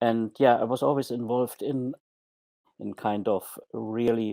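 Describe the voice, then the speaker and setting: A man with a German accent. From Germany. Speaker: former hotel manager turned online marketer. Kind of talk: podcast interview. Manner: hesitant, many fillers.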